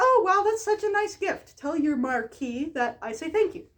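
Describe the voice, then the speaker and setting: In a put-on character voice, a woman squeaks at an extremely high pitch with very wide pitch swings at a moderate pace. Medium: read story. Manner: casual, modern-sounding.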